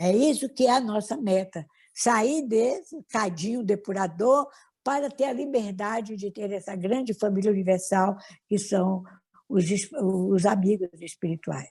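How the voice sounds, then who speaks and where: Delivered at a fairly slow pace, the speech is somewhat breathy and shows ordinary pitch variation. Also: woman, medium pitch for a woman. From Brazil, Minas Gerais. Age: 70s. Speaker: spiritist leader. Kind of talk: interview.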